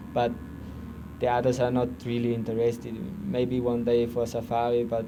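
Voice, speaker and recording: Recorded with audible room echo and noticeable background noise, a man at a medium pitch talks at a fairly quick pace. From Austria. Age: 30s. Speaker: amateur marathon runner. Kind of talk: interview. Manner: halting.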